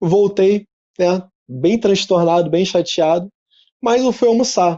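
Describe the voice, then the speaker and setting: A man's high-pitched voice at a very slow pace. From Rio de Janeiro, Zona Norte suburb. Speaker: entrepreneur and speaker. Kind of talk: talk at an online event. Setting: his office showroom, video presentation. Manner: casual, conversational.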